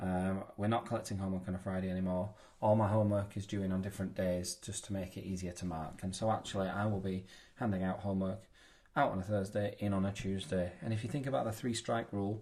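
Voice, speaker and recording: A man with an English accent talks very fast at a fairly low pitch with fairly even intonation, over a quiet background. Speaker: maths teacher. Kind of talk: tutorial.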